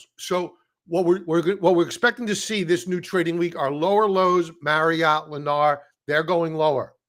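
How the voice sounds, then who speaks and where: On a very clean recording with a silent background, a man with an American accent speaks at a moderate pace in a high pitch. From Brooklyn, New York. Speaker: stock trading educator. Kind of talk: live stream chart analysis. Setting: live stream. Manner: casual, conversational.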